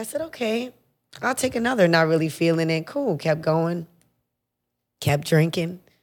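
A woman with a fairly low pitch and lively intonation speaks at a moderate pace with long, frequent pauses in a very clean recording with a silent background. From Puerto Rican heritage, US. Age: 30s. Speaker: hairdresser. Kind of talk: casual chat.

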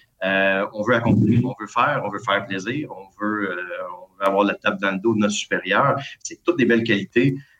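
With music in the background, a man speaks at a fairly low pitch, his loudness swinging widely. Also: ordinary pitch variation, moderate pace. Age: 40s. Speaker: school administrator. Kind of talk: casual interview.

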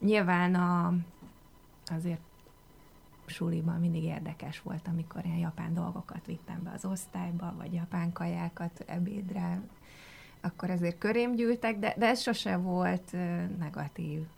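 A somewhat breathy woman's voice, fairly low in pitch, with fairly even intonation, a fairly slow pace and long, frequent pauses. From Hungary. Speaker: foreign affairs journalist. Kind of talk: radio interview. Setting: radio studio.

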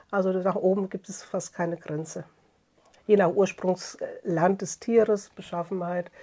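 With a quiet background behind her, a woman talks very slowly. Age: 60s. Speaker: master furrier, workshop owner. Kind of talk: interview. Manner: halting, many fillers.

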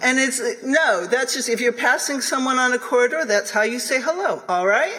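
A woman at high pitch and a moderate pace, with audible room echo and noticeable background noise. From US, upstate New York. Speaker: linguist and author. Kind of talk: lecture.

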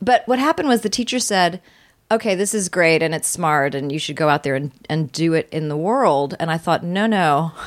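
With a normal speaking voice, a woman talks in a fairly low pitch and lively intonation. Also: moderate pace. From Virginia, US. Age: 50s. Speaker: comedian and TV host. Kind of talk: casual chat.

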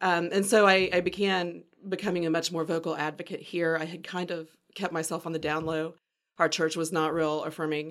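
A woman with a Southern US accent speaks at a fairly quick pace in a fairly low pitch. Her intonation is monotone and flat, and the recording is very clean with a silent background. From US South, Pensacola, Florida. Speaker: publisher and LGBTQ advocate. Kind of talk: podcast interview.

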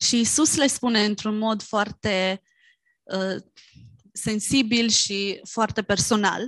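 A woman with a Romanian accent speaks at a very slow pace and fairly high pitch. Her intonation is fairly even, and the sound is dry and close with no echo. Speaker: interpreter. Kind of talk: sermon interpretation.

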